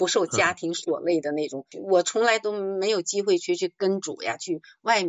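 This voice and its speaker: With lively intonation, a woman speaks at a moderate pace and a medium pitch. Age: 60s. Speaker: retiree turned amateur actor. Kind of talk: call-in talk show conversation. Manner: halting, many fillers.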